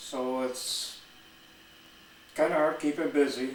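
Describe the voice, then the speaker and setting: A man with an American accent speaks at a fairly slow pace in a fairly high voice. The room echo is audible, and background noise is noticeable. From Wisconsin, US Midwest. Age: 70s. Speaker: retired Marine veteran. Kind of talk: personal life story monologue. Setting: at home. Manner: slow, reflective with pauses.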